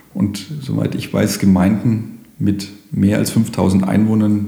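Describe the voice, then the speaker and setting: Over noticeable background noise and audible room echo, a man speaks in a fairly low voice with fairly even intonation. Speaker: police station chief. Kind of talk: interview. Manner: formal.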